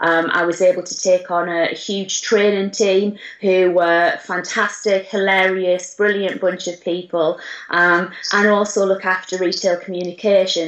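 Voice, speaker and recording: Speaking with a northern English accent, a woman keeps a medium pitch and a moderate pace in a monotone, flat delivery. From northern England, Durham. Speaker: retail business manager. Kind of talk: interview. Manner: hesitant, many fillers.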